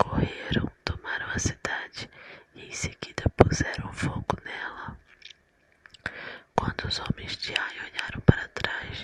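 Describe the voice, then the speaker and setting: Someone whispers at a very slow pace, with long, frequent pauses. Noticeable background noise is present. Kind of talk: ASMR Bible reading. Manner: soft-spoken, whispered.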